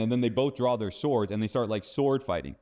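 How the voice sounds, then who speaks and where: In a General American accent, a man with a normal speaking voice talks at a medium pitch with ordinary pitch variation. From Phoenix, Arizona. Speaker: seer and deliverance minister. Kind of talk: testimony interview answer. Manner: casual, conversational.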